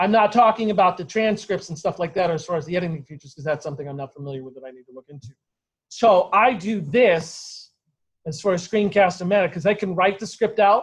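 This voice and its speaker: At a very fast pace, a man talks in a high voice with ordinary pitch variation and big swings in loudness. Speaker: college course instructor. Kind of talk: classroom lecture. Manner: occasional stutter when speaking freely.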